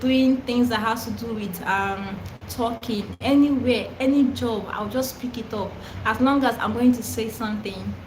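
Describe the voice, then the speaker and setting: A woman with a Nigerian accent speaks at a fairly high pitch and a fairly slow pace, her intonation fairly even. Room echo is audible and background noise is noticeable. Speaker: content creator who stammers. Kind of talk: live stream Q&A. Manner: stammers, repetitions and fillers; casual, chatty.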